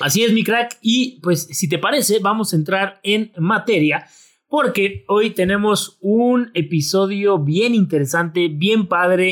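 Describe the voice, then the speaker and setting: Speaking at a very slow pace, a man with a high voice keeps his loudness very even and his pitch variation ordinary. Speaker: history podcast co-host. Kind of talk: casual chat. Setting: beach.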